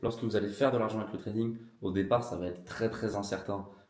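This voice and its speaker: Room echo is audible as a man talks very fast with fairly even intonation. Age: 20s. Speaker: trading educator. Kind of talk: casual talk to camera.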